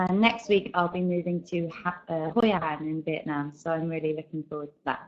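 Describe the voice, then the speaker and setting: A woman speaks at a fairly low pitch. She has an English accent and keeps a moderate pace. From England. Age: 20s. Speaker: English teacher. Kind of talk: online class. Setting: online video class, webcam off. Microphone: weak internet connection.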